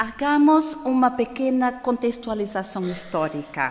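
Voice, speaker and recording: At a very slow pace, a woman talks in a high pitch that swings very widely. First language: Portuguese (speaking Spanish). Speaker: conference speaker on spiritism. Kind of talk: lecture. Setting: stage with audience at a congress. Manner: slow, deliberate; halting, with fillers.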